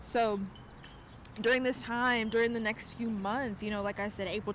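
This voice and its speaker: A woman speaks with an American accent. Her intonation stays fairly even. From South Carolina. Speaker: tarot reader and astrologer. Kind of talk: casual talk to camera. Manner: casual, chatty.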